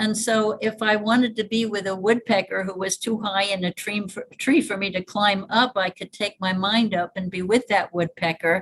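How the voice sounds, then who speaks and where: A somewhat breathy woman's voice with a Northeastern US accent, medium pitch, fairly even intonation and a moderate pace with hardly any pauses. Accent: American, Northeastern. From US Northeast (upstate New York, Hudson Valley). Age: 80s+. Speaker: evolution biologist and futurist. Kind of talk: interview, personal storytelling.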